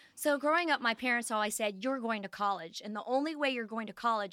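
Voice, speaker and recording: A woman with an American accent talks at a fairly quick pace in a fairly high pitch, her tone bright and sharp, with ordinary pitch variation and a dry, close sound with no echo. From Ohio, Dayton area. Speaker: dentist. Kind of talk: interview storytelling.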